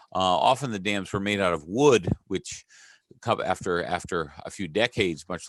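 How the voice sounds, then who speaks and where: The man's pitch is very deep and low, and he speaks at a moderate pace. The background is quiet. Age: 60s. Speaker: museum historian and curator. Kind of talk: lecture. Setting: online talk. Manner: halting, many fillers.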